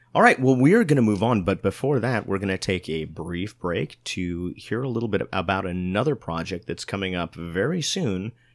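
In a very clean recording with a silent background, a man with an ordinary speaking voice talks at a moderate pace and fairly low pitch, with lively intonation and hardly any pauses. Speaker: podcast host. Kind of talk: casual chat.

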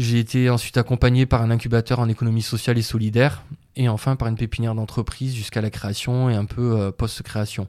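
A man at medium pitch, dark and mellow in tone, with monotone, flat intonation at a very fast pace. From southern France, Montpellier area. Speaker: wild plant gatherer and herbal business owner. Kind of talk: interview. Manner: halting.

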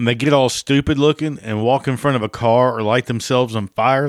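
A man speaks in an ordinary speaking voice at medium pitch and a moderate pace, with fairly even intonation and a dry, close sound free of echo on a very clean recording against a silent background. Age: 50s. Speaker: podcast host. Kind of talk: casual monologue.

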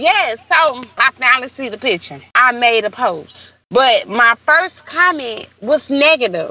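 A woman with an American accent talks very slowly but with hardly any pauses. Her high voice is bright and sharp, with lively intonation. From St. Louis, Missouri. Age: 30s. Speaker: hairstylist and entrepreneur. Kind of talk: interview.

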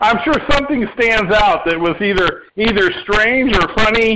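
In a Midwestern US accent, a raised, projected voice moves at a fairly slow pace with ordinary pitch variation. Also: man. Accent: US Midwest. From Indiana. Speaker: podcast host. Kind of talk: casual interview.

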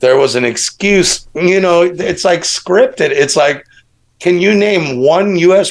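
A man with an American accent speaks at a fairly slow pace in a fairly high pitch. His intonation is lively, and he has a plain, everyday voice. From US Midwest, Chicago. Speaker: podcast guest, alternative researcher. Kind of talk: casual chat.

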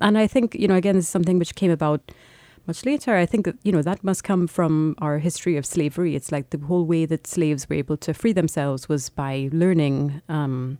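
A woman's very deep, low voice in a dark, mellow tone, with ordinary pitch variation and a moderate pace, dry and close with no echo, on a very clean recording with a silent background. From Trinidad. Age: 40s. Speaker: novelist. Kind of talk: casual interview.

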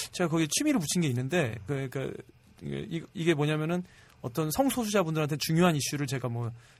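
Speaking very fast, a man with a fairly high pitch uses lively intonation. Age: middle-aged. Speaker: film and web drama director. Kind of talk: casual chat.

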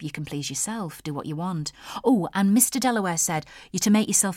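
Reading done in a natural voice

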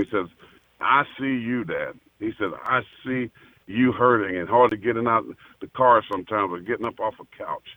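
An unremarkable speaking voice from a man, medium in pitch, with fairly even intonation and a fairly quick pace. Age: 50s. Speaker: former NFL player and pastor. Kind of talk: casual chat.

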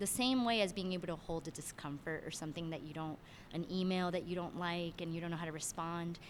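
In a normal speaking voice, a woman with an American accent talks fairly quickly at a fairly low pitch. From Miami, Florida, Cuban-Venezuelan family. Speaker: director and choreographer. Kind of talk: interview.

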